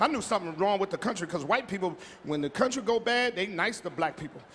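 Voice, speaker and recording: Background noise is noticeable as a man talks at a fairly quick pace. His pitch swings very widely. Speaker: stand-up comedian. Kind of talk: stand-up comedy routine. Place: stage. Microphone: handheld.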